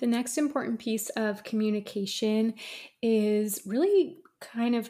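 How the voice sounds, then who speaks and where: A somewhat breathy woman with a fairly high pitch at a fairly slow pace, in a very clean recording with a silent background. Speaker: podcast host, esthetician. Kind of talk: solo educational monologue. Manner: often laughs.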